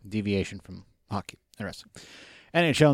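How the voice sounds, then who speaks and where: In a very clean recording with a silent background, a man with a plain, everyday voice speaks at a medium pitch with lively intonation. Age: 40s. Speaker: podcast co-host. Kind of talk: casual chat.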